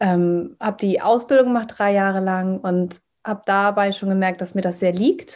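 A plain, everyday voice from a woman at medium pitch, with fairly even intonation and a moderate pace. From northern Germany, Hamburg. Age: 30s. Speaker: trauma-sensitive coach. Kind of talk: podcast interview.

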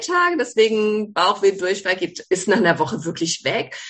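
An ordinary speaking voice from a woman, medium in pitch, with lively intonation. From Baden, southwest Germany. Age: 40s. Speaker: gynecologist, author. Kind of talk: interview.

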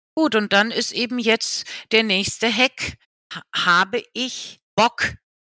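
With a bright, sharp tone, a woman speaks fairly high and very slowly, the sound dry and close with no echo in a very clean recording with a silent background. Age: 60s. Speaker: business professor. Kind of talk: interview.

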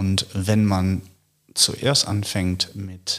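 A man's very deep, low voice with a Dutch accent, on a very clean recording with a silent background. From Netherlands. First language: Dutch (speaking German). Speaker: philosopher. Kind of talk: intellectual conversation.

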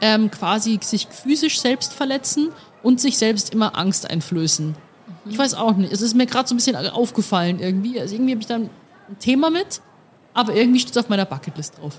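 A woman with a fairly high pitch speaks at a fairly quick pace against noticeable background noise. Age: 20s. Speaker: podcast host. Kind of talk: casual chat. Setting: beer tent at the Oktoberfest.

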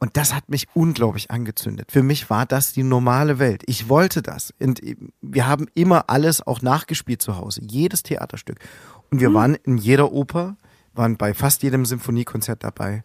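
A man with a normal speaking voice talks at a medium pitch and moderate pace with ordinary pitch variation, on a very clean recording with a silent background. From Saxony, eastern Germany (Plauen, Vogtland). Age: 30s. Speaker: musician. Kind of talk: interview.

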